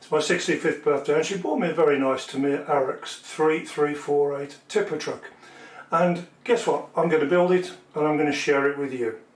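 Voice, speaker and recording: Through noticeable background noise comes a man's voice at a fairly high pitch. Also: ordinary pitch variation, moderate pace. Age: 60s. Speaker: model building hobbyist. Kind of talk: tutorial. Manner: casual.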